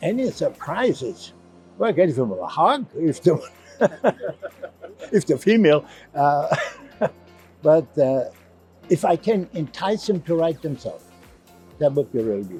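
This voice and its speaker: Over music in the background, a man with a German accent speaks at a moderate pace in a high pitch, swinging very widely in pitch and leaving long, frequent pauses. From Germany. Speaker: novelist and physician. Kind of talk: interview answer. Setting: book fair.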